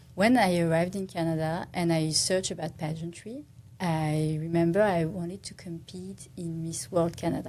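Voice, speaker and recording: In a French accent, a woman with a fairly low pitch and a dark, mellow tone speaks at a moderate pace, with ordinary pitch variation and big swings in loudness. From France. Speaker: architect and pageant titleholder. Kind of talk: podcast interview. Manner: halting.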